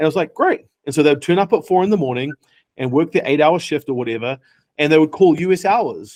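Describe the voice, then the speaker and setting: In a New Zealand accent, an animated man talks very fast at a fairly high pitch with ordinary pitch variation, in a dry, close recording with no echo. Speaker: tech startup founder. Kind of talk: interview.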